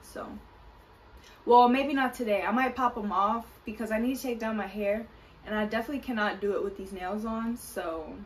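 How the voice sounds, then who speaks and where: A woman's fairly high-pitched voice over light background noise. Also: ordinary pitch variation, fairly quick pace. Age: 20s. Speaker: vlogger. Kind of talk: casual talk to camera. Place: kitchen.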